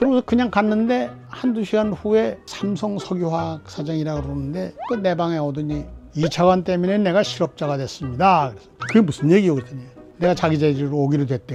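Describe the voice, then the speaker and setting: Over music in the background, a man talks at a fairly quick pace with a fairly high pitch, very wide pitch swings and big swings in loudness. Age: 90s. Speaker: retired government minister. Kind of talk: storytelling reminiscence. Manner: conversational, somewhat halting.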